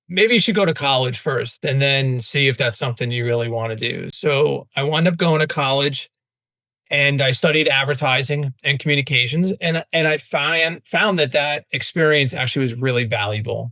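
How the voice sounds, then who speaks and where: A man with a New York accent talks in a fairly high pitch. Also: ordinary pitch variation, moderate pace. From Staten Island, New York. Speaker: branding agency founder. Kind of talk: podcast interview. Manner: casual.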